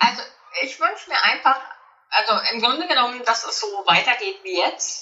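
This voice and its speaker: A woman with a high voice and lively intonation speaks at a moderate pace, pausing long and often. Noticeable background noise runs underneath. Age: 50s. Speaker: author and coach. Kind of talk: interview.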